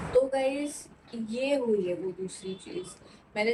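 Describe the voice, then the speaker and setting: Noticeable background noise sits behind a woman's fairly high-pitched voice. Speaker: vlogger. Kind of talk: casual vlog talk to camera.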